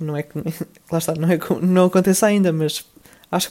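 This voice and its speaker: A man speaks at a moderate pace in a dark, mellow tone with monotone, flat intonation. The recording is very clean, its background silent. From Portugal. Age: 20s. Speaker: podcast host, student. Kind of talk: solo podcast monologue. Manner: hesitant, many fillers.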